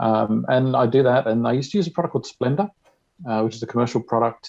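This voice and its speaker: Speaking very fast with an Australian accent, a man talks at a medium pitch. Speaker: diabetes community member. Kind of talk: tutorial.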